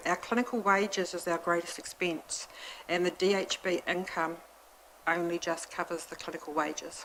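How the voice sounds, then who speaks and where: A woman with a New Zealand accent talks at a moderate pace with fairly even intonation. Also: fairly low pitch for a woman. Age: 60s. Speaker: hospice representative making a submission. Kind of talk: public submission at council hearing. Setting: council committee meeting.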